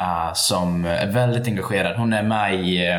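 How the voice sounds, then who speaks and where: There is audible room echo and noticeable background noise as a man talks with fairly even intonation. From Sweden, Borlänge (Dalarna). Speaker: activist. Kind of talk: casual interview. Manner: halting.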